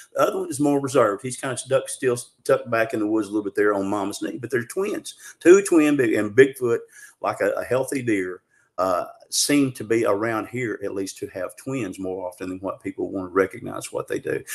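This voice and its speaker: With a Southern US accent, a man speaks at a fairly quick pace. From Arkansas. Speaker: Bigfoot researcher. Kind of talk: interview storytelling. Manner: fast; animated.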